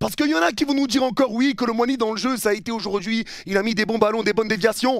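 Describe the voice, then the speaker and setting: A furious man speaks at a very fast pace with hardly any pauses, his pitch high. The sound is dry with no echo over a quiet background. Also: ordinary pitch variation. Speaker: football youtuber and match commentator. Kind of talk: angry rant, post-match video debrief. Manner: furious, heated, venting; emphatic, repetitive, insistent. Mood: frustrated, angry, disappointed. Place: home room. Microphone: headset.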